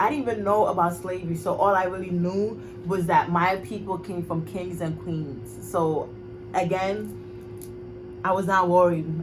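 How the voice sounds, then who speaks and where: In a slight Ghanaian accent, a woman with a fairly low pitch and ordinary pitch variation speaks at a fairly slow pace, with audible room echo. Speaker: vlogger. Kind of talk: personal monologue vlog. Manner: casual, filler-heavy.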